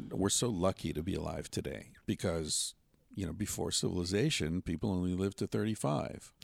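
With vocal fry and ordinary pitch variation, a man speaks at a very deep, low pitch. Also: fairly quick pace. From US, western Pennsylvania. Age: 50s. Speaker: author and podcast host. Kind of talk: casual chat. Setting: outdoors on a trip in Mexico.

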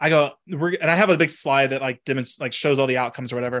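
A man with an American accent and ordinary pitch variation against a quiet background. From Texas. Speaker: economics professor and podcast co-host. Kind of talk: casual chat. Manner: animated.

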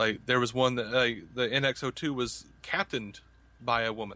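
With a Southern US accent, a man talks in a bright, sharp tone. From US South. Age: 30s. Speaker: podcaster. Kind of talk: casual chat.

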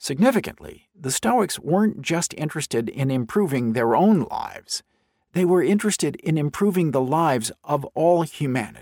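The intonation sounds lively. A normal speaking voice moves at a moderate pace. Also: man, fairly high pitch for a man. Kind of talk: audiobook narration of a nonfiction book. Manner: measured, clear, formal.

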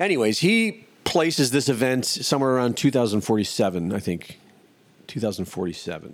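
Medium in pitch, a man talks at a fairly quick pace with very wide pitch swings. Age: 50s. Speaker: podcast host. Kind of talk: casual monologue. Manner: rambling, energetic.

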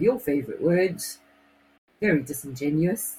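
A somewhat breathy woman's voice, very deep and low in pitch, with ordinary pitch variation. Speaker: radio co-host. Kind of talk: casual chat.

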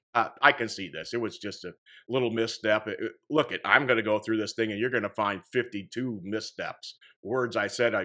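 A man with an American accent, medium pitch, a bright, sharp tone, fairly even intonation and a moderate pace. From Indiana, US Midwest. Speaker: podcast host. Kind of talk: solo commentary monologue on news.

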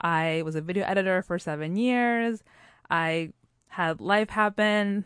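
A woman talks at a fairly slow pace with a plain, everyday voice, medium in pitch and with ordinary pitch variation. The sound is dry and close with no echo, and the background is quiet. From Puerto Rico and US. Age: 30s. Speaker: storytelling show founder, guest. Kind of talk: casual interview chat.

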